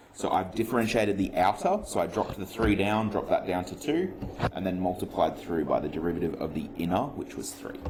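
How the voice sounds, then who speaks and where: A man rattles along at a very fast pace while noticeable background noise persists. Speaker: maths teacher. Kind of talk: lesson. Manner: casual.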